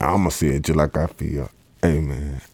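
A man with a Georgia accent, very deep and low in pitch, with a dark, mellow tone, fairly even intonation and a moderate pace. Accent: Southern US (Georgia). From US South, Columbus, Georgia. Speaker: rapper. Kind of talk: casual interview chat.

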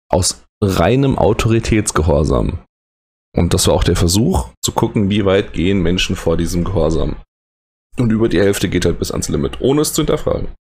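Vocal fry marks a man's very deep, low voice, delivered at a very even loudness. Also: moderate pace. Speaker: educator and podcast host. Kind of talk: solo late-night podcast monologue. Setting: recording alone late at night. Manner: halting, hesitant.

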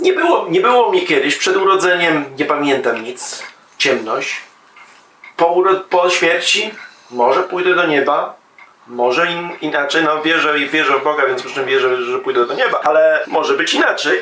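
With audible room echo and noticeable background noise, a man talks at a high pitch with ordinary pitch variation. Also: moderate pace. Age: 40s. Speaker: discussion participant. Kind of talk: casual discussion.

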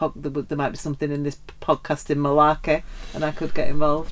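In a northern English accent, a woman talks with a very deep, low pitch. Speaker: podcast co-host. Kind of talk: casual interview chat.

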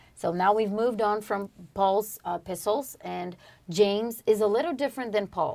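At a moderate pace, a woman with a Portuguese accent speaks in a dark, mellow tone. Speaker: podcast co-host. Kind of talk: religious study discussion. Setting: studio.

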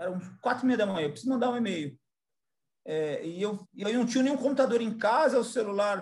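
Lively intonation marks a man's speech. His pitch is extremely high. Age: 40s. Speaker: business executive. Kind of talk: interview.

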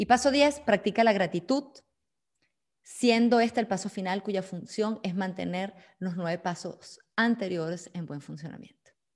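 A plain, everyday voice from a woman at a medium pitch, with ordinary pitch variation, big swings in loudness and a moderate pace. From Venezuela. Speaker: business consultant and speaker. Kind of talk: online seminar talk.

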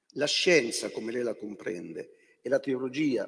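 A man at a fairly slow pace. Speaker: bishop and moderator. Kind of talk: moderated debate. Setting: stage with audience.

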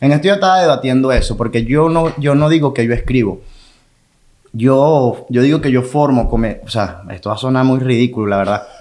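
Its pitch rises and falls in an ordinary way. An ordinary speaking voice delivers words at a fairly quick clip. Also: man, medium pitch for a man. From Venezuela, Maracay. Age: 30s. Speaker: comedian. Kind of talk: casual chat.

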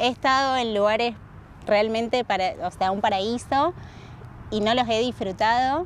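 Pausing long and often, a woman with a fairly high pitch keeps her loudness very even and varies her pitch an ordinary amount. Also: fairly slow pace. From Argentina, Rosario (born in Salta). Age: 20s. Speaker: traveller, tour boat host. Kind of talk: casual interview. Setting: outdoors.

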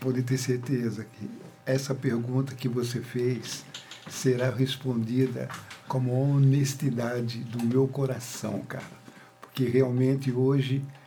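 A man talks at a medium pitch in a monotone with flat intonation. Audible room echo surrounds his voice. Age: 70s. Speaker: reggae musician. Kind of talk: casual interview.

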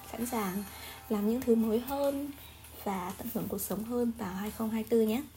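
Over background music, a woman speaks at a fairly slow pace. Her fairly high voice keeps a fairly even intonation. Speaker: solo podcaster. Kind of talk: casual monologue. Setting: home recording with background music.

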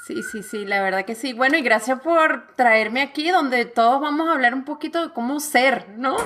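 A woman with a high pitch and ordinary pitch variation speaks at a moderate pace with hardly any pauses. Her loudness swings widely, and noticeable background noise is present. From Venezuela. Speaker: author and fitness coach. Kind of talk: interview conversation.

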